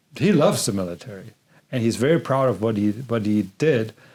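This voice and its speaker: Here a man speaks with a German accent at a medium pitch and moderate pace. The recording is very clean, with a silent background. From Germany. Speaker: podcast host and filmmaker. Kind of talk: interview conversation.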